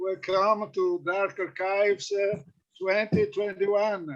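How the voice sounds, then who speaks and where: A man with a high voice and a non-native accent, at a fairly slow pace, with ordinary pitch variation. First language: Italian. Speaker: philologist and panel chair. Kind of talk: chairing an academic panel. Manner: hesitant, many fillers.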